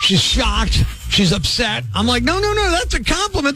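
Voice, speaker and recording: A man's fairly quick talking comes through noticeable background noise. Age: 50s. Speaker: radio host. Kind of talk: radio call-in segment.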